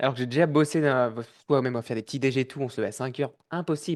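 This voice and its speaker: Over a quiet background, a man speaks at a very fast pace. His pitch is fairly high, with ordinary variation. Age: 30s. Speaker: podcast host. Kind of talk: podcast interview. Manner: casual, hesitant.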